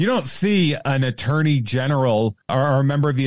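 In a very clean recording with a silent background, a normal speaking voice with an American accent moves at a moderate pace. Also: man. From Central Massachusetts. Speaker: podcaster and comedian. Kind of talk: casual chat.

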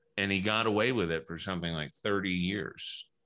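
Using ordinary pitch variation and some vocal fry, a man talks at a moderate pace. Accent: American. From US South, New Orleans. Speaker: author and radio host. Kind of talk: interview. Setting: home studio.

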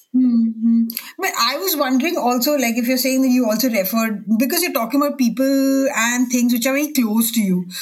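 A woman speaks at a fairly quick pace in a high pitch with ordinary pitch variation and hardly any pauses. Her loudness stays very even over noticeable background noise. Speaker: books editor, podcast host. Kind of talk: interview.

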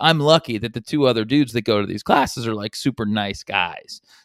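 A plain, everyday voice with ordinary pitch variation, speaking at a fairly quick pace. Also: man. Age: 40s. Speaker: sports betting podcast co-host. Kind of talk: casual chat.

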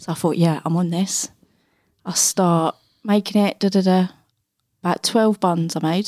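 A woman's dark, mellow voice at medium pitch, moderate pace and fairly even intonation, with long, frequent pauses, in a dry, close recording with no echo, very clean against a silent background. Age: 30s. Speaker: podcast co-host. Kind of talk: casual chat.

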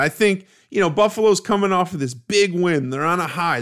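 A man with a plain, everyday voice and an American accent, fairly slow in pace and lively in intonation, on a very clean recording with a silent background. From US Midwest, Cleveland, Ohio. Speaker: sports podcast host. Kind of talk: solo sports analysis monologue.

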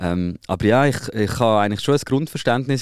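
At a very fast pace, a man speaks in a fairly low pitch, captured in a very clean recording with a silent background. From Switzerland. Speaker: podcast host. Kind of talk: casual chat.

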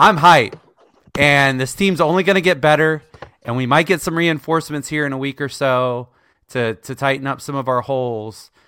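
Speaking in an unremarkable speaking voice, a man with a fairly high pitch keeps a moderate pace. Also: ordinary pitch variation. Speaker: podcast co-host. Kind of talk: casual sports podcast discussion.

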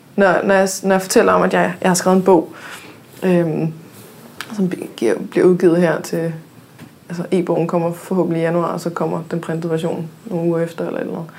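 Against noticeable background noise, a woman with a fairly low pitch speaks with ordinary pitch variation and long, frequent pauses. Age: 20s. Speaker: podcast host. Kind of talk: casual chat. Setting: studio.

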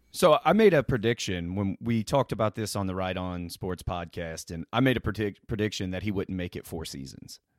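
With an American accent and a normal speaking voice, a man talks at a fairly quick pace in a fairly low pitch with ordinary pitch variation, big swings in loudness and hardly any pauses, on a very clean recording with a silent background and a dry, close sound with no echo. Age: 20s. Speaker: sports podcaster. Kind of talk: interview.

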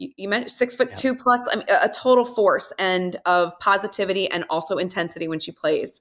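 With a plain, everyday voice, a woman talks at a fairly quick pace and medium pitch, with ordinary pitch variation and hardly any pauses. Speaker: podcast host and former athlete. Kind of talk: casual interview chat.

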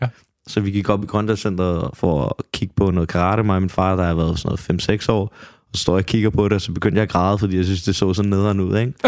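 Very deep and low in pitch, a man speaks at a very fast pace with fairly even intonation. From Copenhagen, Denmark. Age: 20s. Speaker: MMA fighter. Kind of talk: casual chat.

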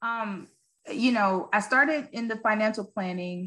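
A woman speaks at a fairly slow pace in a Southern US accent, with ordinary pitch variation. Music plays in the background. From US South, West Memphis, Arkansas. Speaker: former pro basketball player, business owner. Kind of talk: interview.

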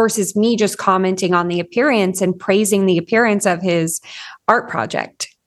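A woman at a moderate pace with ordinary pitch variation, quiet background. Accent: Californian. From US West Coast, Orange County, California. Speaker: parenting coach. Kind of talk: interview conversation.

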